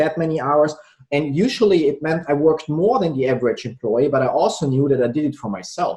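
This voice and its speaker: This man talks at a fairly quick pace with a non-native accent, a fairly high pitch and ordinary pitch variation. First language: not English. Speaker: entrepreneur and sales trainer. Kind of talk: casual interview.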